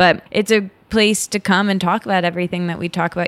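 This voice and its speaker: A woman with a Midwestern US accent talks fairly quickly in a very clean recording with a silent background. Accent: US Midwest. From Michigan. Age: 30s. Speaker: podcaster and writer. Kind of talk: casual interview chat.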